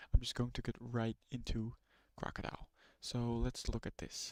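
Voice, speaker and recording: A man's medium-pitched voice with a non-native accent, at a moderate pace, dry and close with no echo. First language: not English. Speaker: streamer learning ethical hacking. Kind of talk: live stream tutorial. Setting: live stream with screen share.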